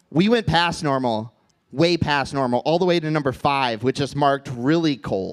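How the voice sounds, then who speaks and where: The man's intonation is lively. He talks fairly slowly. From US Midwest, Minnesota. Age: 30s. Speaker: comedian. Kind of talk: stand-up. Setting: stage with audience.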